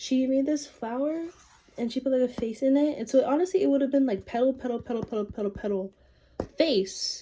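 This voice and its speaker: A soft-spoken woman talks at a fairly quick pace and a high pitch. There is noticeable background noise. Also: ordinary pitch variation. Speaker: vlogger. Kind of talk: casual chat. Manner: halting.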